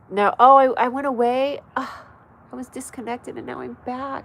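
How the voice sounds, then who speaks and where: A woman with an American accent at a moderate pace, with noticeable background noise. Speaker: comedy show host and comedian. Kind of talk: casual livestream chat. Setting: livestream.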